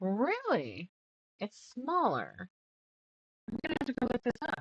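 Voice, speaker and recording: Soft-spoken and high-pitched, a woman talks fairly slowly with very wide pitch swings, in a dry, close sound with no echo. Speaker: quilter streaming a sew-along. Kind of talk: casual live-stream chat while sewing. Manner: quiet, soft-spoken; chatty, counting stitches aloud.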